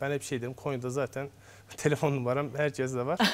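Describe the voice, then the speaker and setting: His medium-pitched voice holds a monotone, flat intonation. The man keeps a fairly quick tempo. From Azerbaijan, Baku; Azerbaijan. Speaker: obstetrician-gynecologist; guest. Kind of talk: TV health interview. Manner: hesitant, frequent fillers. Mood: calm, explanatory. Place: studio. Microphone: lapel.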